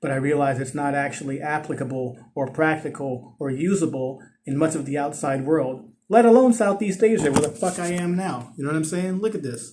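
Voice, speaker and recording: Here a man speaks with an American accent at a moderate pace. His voice is fairly high in pitch, somewhat breathy, with ordinary pitch variation. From US West Coast, East Oakland, California. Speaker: vlogger. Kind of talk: casual monologue vlog. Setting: outdoors on a ledge.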